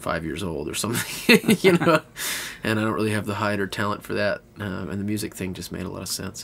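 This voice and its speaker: A man with a Texan accent talks at a fairly quick pace, his fairly low pitch showing ordinary pitch variation. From Texas. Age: 20s. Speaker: singer-songwriter. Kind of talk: interview. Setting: inside an Airstream trailer.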